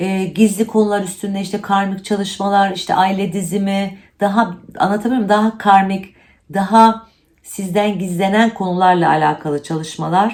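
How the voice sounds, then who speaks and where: The speaker delivers lines in a monotone, flat intonation at a moderate pace. The recording is very clean with a silent background. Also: woman, medium pitch for a woman. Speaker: astrologer. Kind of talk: monthly horoscope monologue.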